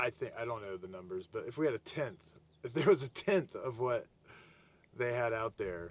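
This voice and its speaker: Somewhat breathy and lively in intonation, a man of medium pitch talks at a moderate pace. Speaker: spiritual video blogger. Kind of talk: casual monologue to camera. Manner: halting, repeats words; rambling loose delivery.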